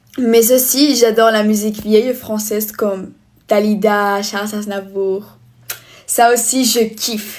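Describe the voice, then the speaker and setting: Speaking very slowly in a flat monotone, a woman with a Spanish accent has a fairly high pitch. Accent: non-native French accent, Spanish-tinged. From Spain. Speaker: vlogger. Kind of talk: casual get-ready-with-me vlog. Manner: halting, less fluent French.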